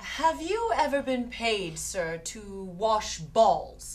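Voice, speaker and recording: In a put-on character voice, a woman draws out her words very slowly at a fairly high pitch, swinging very widely up and down in pitch. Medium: comedy sketch.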